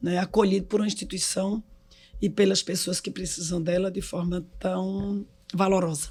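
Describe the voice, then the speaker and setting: A woman speaks with a dark, mellow tone that is somewhat breathy, keeping a flat, monotone intonation. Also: medium pitch for a woman, moderate pace. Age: 60s. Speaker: hospital executive. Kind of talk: casual chat.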